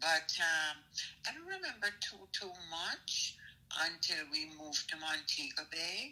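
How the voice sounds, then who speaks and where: A woman speaks slowly-ish in a fairly low, flat, monotone voice. Noticeable background noise sits behind her. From Jamaica, Port Antonio. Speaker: mother being interviewed. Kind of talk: casual interview.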